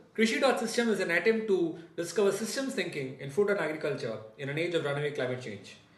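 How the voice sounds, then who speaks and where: Delivered at a very fast pace with hardly any pauses, the voice makes very wide pitch swings. Noticeable background noise runs underneath. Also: man, high pitch for a man. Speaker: podcast host. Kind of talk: podcast introduction.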